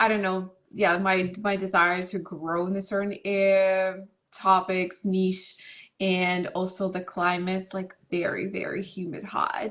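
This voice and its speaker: A woman with a Russian accent speaks at a fairly slow pace in a medium pitch, her intonation flat and monotone. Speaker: massage and touch therapist. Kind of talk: interview. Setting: Instagram live video call.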